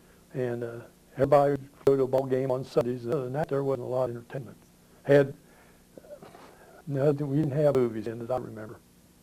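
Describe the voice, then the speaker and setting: A man with a Midwestern American accent talks at a very fast pace and medium pitch, with long, frequent pauses. His intonation is monotone and flat, and there is noticeable background noise. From southwest Ohio. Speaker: local elder interviewee. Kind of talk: oral history interview. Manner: halting.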